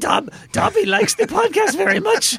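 Using a put-on character voice, a man speaks at a moderate pace in an extremely high pitch with very wide pitch swings. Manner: eager, servile.

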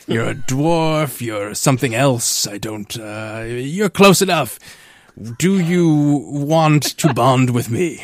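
A man puts on a gruff character voice at a medium pitch. He speaks at a very slow pace.

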